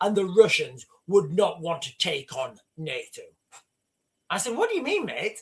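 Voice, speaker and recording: A man's high-pitched voice with a northern English accent. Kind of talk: casual, conversational.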